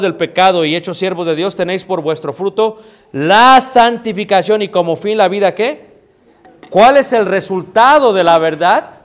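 Noticeable background noise is present throughout. A man talks in a high voice, and his pitch varies in an ordinary way. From Mexico City. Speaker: preacher. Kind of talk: sermon. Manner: halting.

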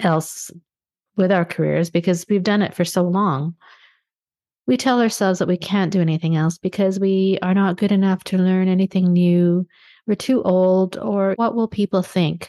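A woman with an ordinary speaking voice, medium pitch, ordinary pitch variation, very even loudness and a moderate pace, over a quiet background. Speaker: podcast host and life coach. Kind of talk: solo podcast monologue.

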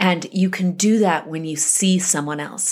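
A woman with an American accent has an unremarkable speaking voice, medium in pitch with ordinary pitch variation. She speaks at a moderate pace on a very clean recording with a silent background. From US West, Salt Lake City, Utah. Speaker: author. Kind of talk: interview.

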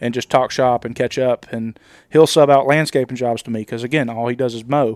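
In a Southern US accent, a man talks at a fairly quick pace with a medium pitch and fairly even intonation, the sound dry and close with no echo. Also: very clean recording, silent background. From US South, Nashville, Tennessee. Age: 30s. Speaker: lawn care business owner. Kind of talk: casual chat. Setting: hotel room.

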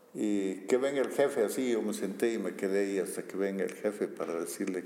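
A man's speech with ordinary pitch variation against noticeable background noise. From Bolivia, Sucre. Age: 60s. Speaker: archaeologist. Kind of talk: interview.

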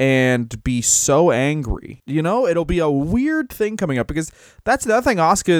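A man talks at a fairly quick pace in an unremarkable speaking voice, with lively intonation. The recording is very clean, with a silent background. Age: 30s. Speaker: comedian podcast co-host. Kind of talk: casual chat.

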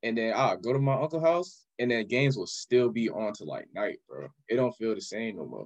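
A man talks with an American accent in a plain, everyday voice. His pace is fairly quick, his intonation lively, and his loudness swings widely. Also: medium pitch for a man. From Orlando, Florida. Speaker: podcast guest, shoe cleaning business owner. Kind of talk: casual chat.

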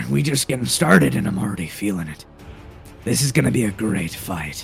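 Over clear music in the background, a man puts on a raspy character voice with a very deep, low pitch, very wide pitch swings and a fairly quick pace. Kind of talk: gruff. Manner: confident, relishing the fight.

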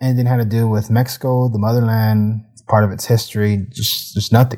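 Dark and mellow in tone, a man's somewhat breathy, medium-pitched voice comes through on a very clean recording with a silent background. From United States, Mexican-American family. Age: 30s. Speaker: podcast host. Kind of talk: personal monologue.

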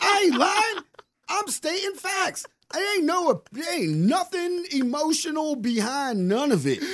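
A man speaks at an extremely high pitch with very wide pitch swings. His pace is very slow. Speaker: podcast co-host. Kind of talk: casual banter, comedic rant.

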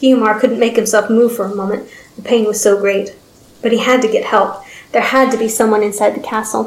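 The clip consists of plain reading aloud.

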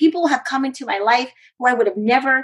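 A woman's normal speaking voice with lively intonation. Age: 40s. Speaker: professional cheerleader and speaker. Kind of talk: interview.

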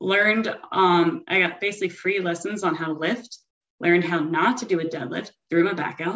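A woman speaks in a normal speaking voice at a moderate pace, her pitch fairly low and its variation ordinary. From US South, South Florida (Broward County). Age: 30s. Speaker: amateur bikini fitness competitor. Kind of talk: casual chat.

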